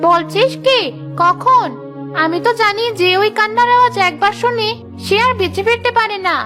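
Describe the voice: Cartoonish character voice from a woman, extremely high-pitched, at a moderate pace over clear background music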